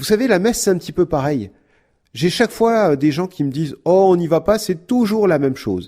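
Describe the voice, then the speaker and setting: A high-pitched man talks at a fairly quick pace with lively intonation. His tone is dark and mellow, and the recording is very clean with a silent background. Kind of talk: podcast talk on prayer. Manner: fast.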